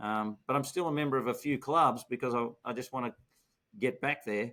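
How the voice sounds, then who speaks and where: A man's medium-pitched voice with a bright, sharp tone, fairly quick pace and ordinary pitch variation, on a very clean recording with a silent background. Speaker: podcast host, retired dentist. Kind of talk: interview.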